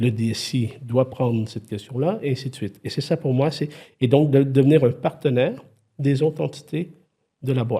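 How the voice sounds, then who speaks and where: A man's voice comes across dark and mellow, and somewhat breathy. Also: medium pitch for a man, ordinary pitch variation, moderate pace. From Quebec. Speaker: IT consultant and former CTO. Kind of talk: podcast interview. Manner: animated, many hesitations and restarts.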